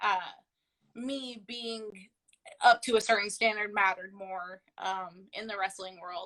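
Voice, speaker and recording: A woman's medium-pitched voice, bright and sharp in tone, at a fairly slow pace with fairly even intonation, long and frequent pauses, and big swings in loudness. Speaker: professional wrestler. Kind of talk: casual interview. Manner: loud and talkative.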